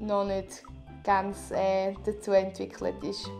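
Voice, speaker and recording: A woman with a Swiss accent speaks at a very slow pace over music in the background. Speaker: parenting vlogger. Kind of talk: casual product review talk to camera.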